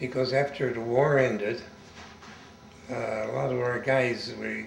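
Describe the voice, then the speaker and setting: A man with an American accent talks at a medium pitch and a fairly slow pace in a monotone, flat intonation. Noticeable background noise and audible room echo are present. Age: 80s+. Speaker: war veteran. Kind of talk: oral history interview. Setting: interviewee's home.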